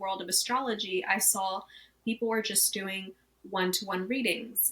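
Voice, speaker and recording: A woman speaks with fairly even intonation. Noticeable background noise is audible. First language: not English. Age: 30s. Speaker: astrologer. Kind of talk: interview.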